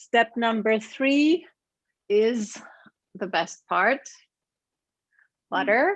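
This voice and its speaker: A woman speaks in a German accent at a very slow pace, with long, frequent pauses. Her pitch is fairly high and her intonation is lively. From Germany. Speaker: cooking demonstrator. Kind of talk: online cooking class.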